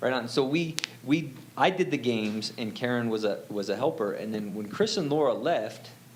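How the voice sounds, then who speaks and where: A man with an animated tone and lively intonation speaks amid audible room echo. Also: medium pitch for a man, moderate pace. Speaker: church youth volunteer. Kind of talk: testimony. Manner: loud.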